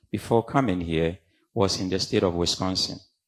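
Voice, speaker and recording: A man with a Ghanaian accent talks at a moderate pace with ordinary pitch variation. The recording is very clean, with a silent background. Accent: Ghanaian accent, kept. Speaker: professor, community leader. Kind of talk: conference panel talk. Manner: animated.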